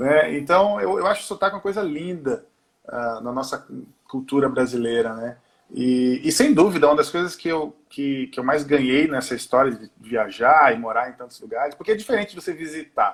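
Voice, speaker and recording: At a moderate speed, the man talks in a fairly high pitch. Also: lively intonation. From Brazil, mixed (Pernambuco, Manaus, Porto Alegre). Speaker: singer and musician. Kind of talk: interview. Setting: remote call from home.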